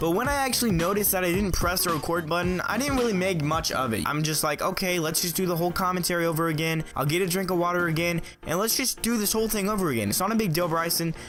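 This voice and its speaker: A man at a high pitch and very fast pace with hardly any pauses, ordinary pitch variation and very even loudness, audible room echo and music in the background. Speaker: gaming YouTuber. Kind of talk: casual vlog storytime.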